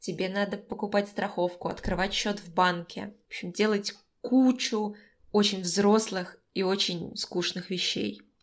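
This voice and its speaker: Her intonation is flat and monotone at a medium pitch, and she speaks at a fairly slow pace. The woman's loudness swings widely from moment to moment. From Moscow, Russia. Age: 20s. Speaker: podcast co-host, recent graduate. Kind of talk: casual chat. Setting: call.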